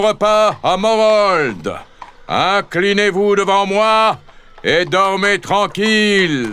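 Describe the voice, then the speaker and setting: A man talks at a very slow pace. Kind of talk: scripted narration, children's story read aloud. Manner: dramatic, suspenseful storytelling; animated, varying voices for characters.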